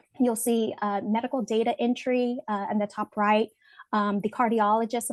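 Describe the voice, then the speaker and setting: A woman with a fairly high pitch and monotone, flat intonation, in a dry, close sound with no echo. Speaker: webinar presenter. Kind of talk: personal testimony in a webinar presentation. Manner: halting with many fillers.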